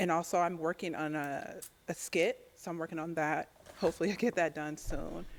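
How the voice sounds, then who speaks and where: A woman's plain, everyday voice, fairly low in pitch, with an American accent, fairly even intonation and a fairly quick pace. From US Southwest, Phoenix, Arizona. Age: 40s. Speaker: dating show contestant. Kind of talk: dating show interview.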